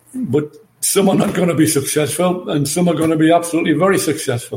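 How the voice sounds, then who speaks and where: Speaking with an English accent, a man keeps a moderate pace and ordinary pitch variation. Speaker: former football manager. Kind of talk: podcast interview.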